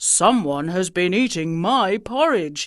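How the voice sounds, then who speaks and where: In a put-on character voice, the speaker bellows and growls at a middle pitch. The pace is fairly slow, and the background is quiet. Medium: read story. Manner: roaring.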